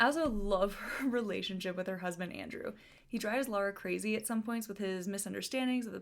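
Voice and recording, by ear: A natural-voiced reading out loud with ordinary pitch variation.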